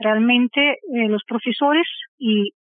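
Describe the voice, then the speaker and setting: A woman with a Russian accent, fairly high pitch, ordinary pitch variation and a fairly slow pace. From Belarus, Minsk. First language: Russian (speaking Spanish). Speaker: pianist and music theory teacher. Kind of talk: interview.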